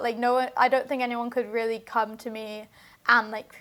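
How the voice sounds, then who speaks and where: Here is a woman with a British accent and a high pitch. She talks at a fairly quick pace. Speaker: singer-songwriter. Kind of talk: casual interview. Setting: studio. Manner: loud; halting, many fillers.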